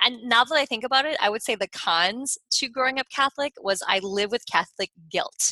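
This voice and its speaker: With a bright, sharp tone and lively intonation, a woman speaks at a high pitch in a dry, close sound with no echo. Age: 40s. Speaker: Reiki master and author. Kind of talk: casual interview.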